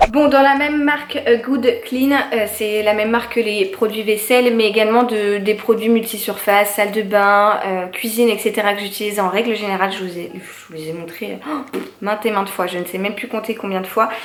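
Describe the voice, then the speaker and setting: At a fairly quick pace with hardly any pauses, a woman speaks in a fairly high pitch with ordinary pitch variation, with audible room echo and noticeable background noise. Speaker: lifestyle youtuber. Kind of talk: shopping haul monologue. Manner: hesitant, many fillers.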